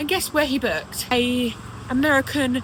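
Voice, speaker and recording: A woman with a British accent and a high pitch, against noticeable background noise. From England. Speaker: British expat vlogger. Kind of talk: casual vlog monologue. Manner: conversational, with fillers.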